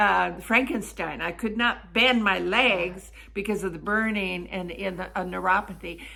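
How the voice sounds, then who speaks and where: With vocal fry and a bright, sharp tone, a woman speaks at a medium pitch and moderate pace, fairly even in intonation and with hardly any pauses, amid audible room echo. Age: 70s. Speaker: network marketer. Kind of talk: sales pitch.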